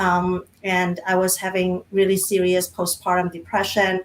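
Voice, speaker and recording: Speaking with a non-native accent, a woman keeps a moderate pace. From Micronesia, South Pacific Islands. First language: not English. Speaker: diversity and inclusion practitioner. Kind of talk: panel conversation. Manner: halting.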